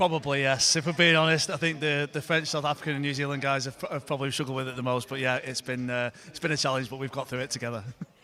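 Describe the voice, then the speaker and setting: A man talking at a very fast pace with hardly any pauses, fairly high-pitched and fairly even in intonation, over noticeable background noise. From northern England. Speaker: rugby coach. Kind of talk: post-match interview.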